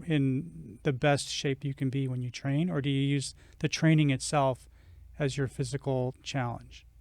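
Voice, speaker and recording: It's a plain, everyday voice, a man speaking at a moderate pace with a fairly high pitch. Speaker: podcast co-host. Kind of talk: interview questions.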